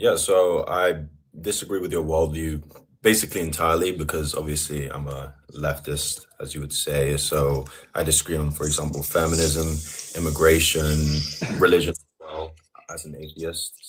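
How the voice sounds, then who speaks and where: A man with a London accent, very deep and low in pitch, somewhat breathy, flat and monotone at a moderate pace. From England, London. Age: 20s. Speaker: caller, left-wing debater. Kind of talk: debate.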